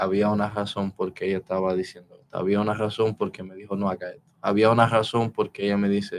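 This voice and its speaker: This man talks in a monotone with flat intonation and a fairly low pitch. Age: 20s. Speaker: martial arts instructor. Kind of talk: casual chat. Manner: halting.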